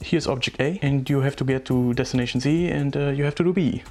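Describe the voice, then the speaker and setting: With a strong non-native accent, the speaker talks at a moderate pace over music in the background. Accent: strong, harsh non-native English. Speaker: gaming video essayist. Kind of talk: scripted video essay narration.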